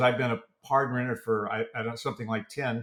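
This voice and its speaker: In an American accent, a man talks at a fairly quick pace with a monotone, flat intonation. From US West Coast, southern California. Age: 70s. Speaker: entrepreneur and photographer. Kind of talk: interview conversation. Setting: studio.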